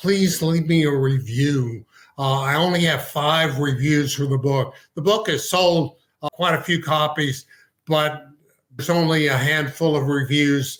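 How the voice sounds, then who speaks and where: A man's ordinary speaking voice, fairly high in pitch, with fairly even intonation, very even loudness and a fairly slow pace. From Texas. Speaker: physician and author. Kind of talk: podcast interview.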